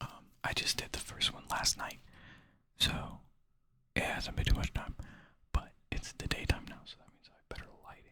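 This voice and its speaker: Whispering at a moderate pace with long, frequent pauses, the speaker is heard over noticeable background noise. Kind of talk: casual talk to camera. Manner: whispered.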